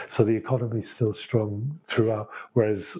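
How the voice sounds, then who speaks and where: A man speaks with an English accent at medium pitch. His tone is dark and mellow, and somewhat breathy. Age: 60s. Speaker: chef. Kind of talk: interview.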